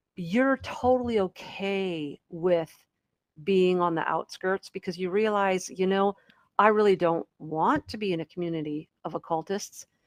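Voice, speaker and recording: A woman's plain, everyday voice at medium pitch and a fairly slow pace, in a dry, close sound with no echo. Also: ordinary pitch variation. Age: 50s. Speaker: podcast host. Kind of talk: casual chat.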